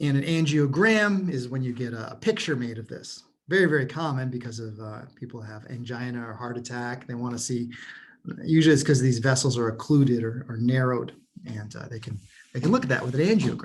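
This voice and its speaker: A man at a fairly quick pace, somewhat breathy, with big swings in loudness, ordinary pitch variation and audible room echo. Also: medium pitch for a man. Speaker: college anatomy instructor. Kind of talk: recorded review lecture. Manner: fast; casual, with fillers.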